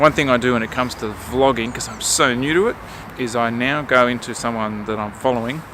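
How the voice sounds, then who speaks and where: Through noticeable background noise, a man with an Australian accent speaks with fairly even intonation. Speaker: vlogger. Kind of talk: casual vlog talk to camera. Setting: outdoors. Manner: casual, hesitant with fillers.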